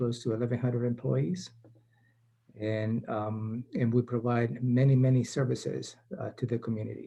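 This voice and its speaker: A man speaks with a South American Spanish accent at a medium pitch. His pace is moderate and his intonation fairly even. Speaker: county administrator. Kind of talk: panel introduction.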